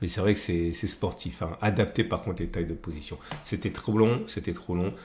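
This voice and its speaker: A man talks at a fairly quick pace, his voice somewhat breathy. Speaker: trading analyst YouTuber. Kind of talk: market analysis tutorial. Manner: hesitant, many fillers.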